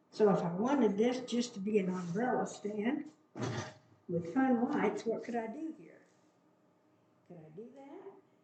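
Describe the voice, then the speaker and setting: An animated tone with lively intonation, a fairly slow pace, long and frequent pauses, big swings in loudness and audible room echo. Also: woman, fairly high pitch for a woman. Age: 70s. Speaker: hobby gardening vlogger. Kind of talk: casual unboxing vlog.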